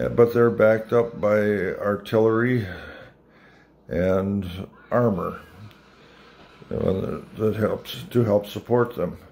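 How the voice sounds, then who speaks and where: A man's fairly low voice, very slow, with fairly even intonation and long, frequent pauses. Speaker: Army veteran, former medic. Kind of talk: recorded video message. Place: home room. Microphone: phone near.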